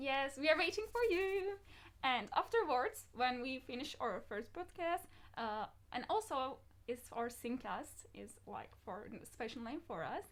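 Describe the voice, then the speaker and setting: At a fairly slow pace, a woman speaks at a high pitch, with very wide pitch swings and big swings in loudness. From Turkey (Izmir). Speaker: podcast host. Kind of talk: casual chat. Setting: live stream.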